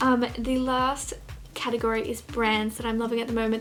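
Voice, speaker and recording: A fairly high-pitched woman with an Australian accent at a fairly quick pace, amid noticeable background noise. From Australia, Gold Coast. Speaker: fashion vlogger. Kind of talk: casual vlog chat. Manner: fast; animated.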